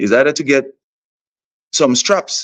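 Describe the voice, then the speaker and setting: In a Vincentian accent, the speaker talks with lively intonation. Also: man, quiet background. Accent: Vincentian Caribbean English. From St Vincent and the Grenadines. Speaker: soca artist. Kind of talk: interview.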